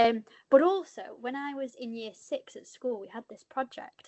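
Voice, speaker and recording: This is a woman speaking. She has a northern English accent. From northern England. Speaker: journalist. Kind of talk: panel discussion.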